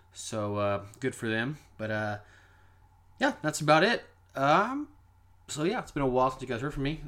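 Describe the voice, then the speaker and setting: Recorded very cleanly against a silent background, a man with an American accent talks at a moderate pace and medium pitch, varying his pitch by an ordinary amount. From Kansas. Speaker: paranormal podcast host. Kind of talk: casual monologue.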